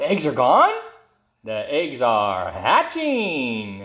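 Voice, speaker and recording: Speaking at a very slow pace, a man puts on a character voice that sits fairly high in pitch. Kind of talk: children's picture-book read-aloud. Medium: read story. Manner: calm, cheerful.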